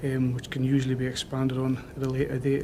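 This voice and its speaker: A man with a Newcastle accent speaks at a medium pitch and a fairly quick pace. The room echo is audible and there is noticeable background noise. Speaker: police officer. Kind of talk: witness testimony. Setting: public inquiry hearing. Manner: halting.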